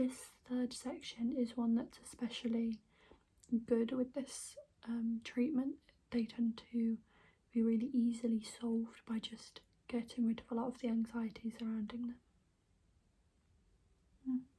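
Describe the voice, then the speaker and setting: A soft-spoken woman with a British accent talks in a gentle, dark and mellow tone at a fairly slow pace. Her intonation is flat and monotone, with long, frequent pauses. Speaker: ASMR creator playing an alternative therapist. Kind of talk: ASMR role-play, personal attention. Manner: soft-spoken, gentle. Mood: calm, reassuring. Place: home room. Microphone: phone near.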